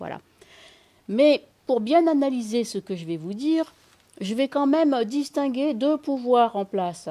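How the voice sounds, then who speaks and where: A woman's high voice at a fairly slow pace, with lively intonation and long, frequent pauses. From Senegal. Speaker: mediator and lecturer on secularism. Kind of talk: lecture. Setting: public meeting with audience. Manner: hesitant, with frequent fillers.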